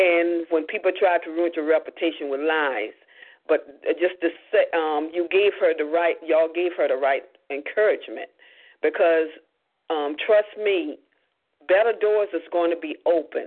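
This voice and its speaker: A woman speaks in a normal speaking voice at a moderate pace, with ordinary pitch variation. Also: fairly low pitch for a woman. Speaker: evangelist giving closing thanks. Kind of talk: closing remarks, thanks.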